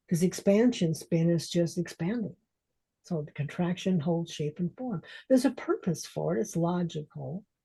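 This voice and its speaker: Over a quiet background, a woman with a fairly low pitch speaks at a moderate pace in a dark, mellow, somewhat breathy tone with lively intonation. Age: 70s. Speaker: transformational coach. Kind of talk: interview conversation.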